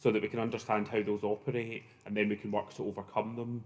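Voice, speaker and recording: With a Glaswegian accent, a man talks at a very fast pace in a medium pitch with monotone, flat intonation. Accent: Glaswegian Scottish. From Scotland, Glasgow. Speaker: professor. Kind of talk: conference opening remarks. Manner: hesitant, many fillers.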